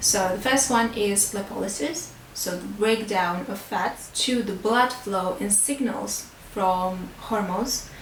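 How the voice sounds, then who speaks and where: Speaking very slowly with a non-native accent and ordinary pitch variation, a woman is heard with audible room echo and light background noise. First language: not English. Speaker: beauty and fitness vlogger; fitness vlogger. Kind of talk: educational talk to camera. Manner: hesitant, many fillers; simple, easy English. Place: home room.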